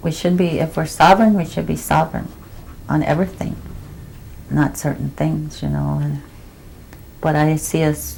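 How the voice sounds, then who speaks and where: A woman speaks with long, frequent pauses. Noticeable background noise is present. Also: moderate pace. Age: 60s. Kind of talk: oral history interview. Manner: halting, with frequent fillers.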